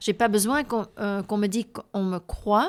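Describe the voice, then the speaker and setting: The speech comes at a fairly slow pace with ordinary pitch variation in a very clean recording with a silent background. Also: woman. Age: 60s. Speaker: abuse survivor and healing workshop leader. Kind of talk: interview. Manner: halting, with repetitions and hesitations.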